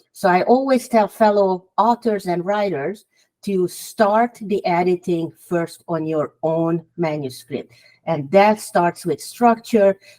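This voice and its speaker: With a Hungarian accent, a woman speaks at a very slow pace in a medium pitch with ordinary variation, her tone dark and mellow and the sound dry and close with no echo. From Hungary. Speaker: author. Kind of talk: podcast interview.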